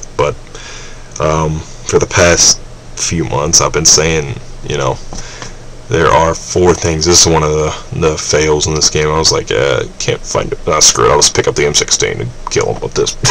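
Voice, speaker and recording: A man talks at a fairly slow pace, with long, frequent pauses. Noticeable background noise runs underneath. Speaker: gaming commentator. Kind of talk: gameplay commentary. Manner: rambling, hesitant with many fillers.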